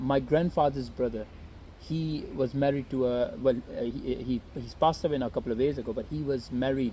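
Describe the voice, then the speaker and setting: Somewhat breathy and dark, mellow in tone, a man with a non-native accent speaks at a medium pitch and a fairly quick pace with fairly even intonation. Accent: noticeable foreign. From Saudi Arabia (Jeddah), Pakistani family. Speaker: YouTuber. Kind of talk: casual interview. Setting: in person in Swansea. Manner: hesitant, many fillers.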